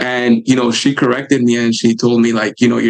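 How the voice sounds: The speaker goes at a fairly quick pace with vocal fry and little pitch movement. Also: man.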